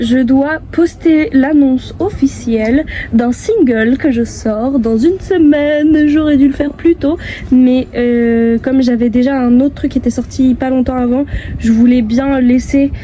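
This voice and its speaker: A soft-spoken woman with a high pitch talks very slowly, her loudness very even. Her pitch varies in an ordinary way, and background noise is noticeable. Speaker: vlogger and singer-songwriter. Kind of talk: vlog. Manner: hesitant.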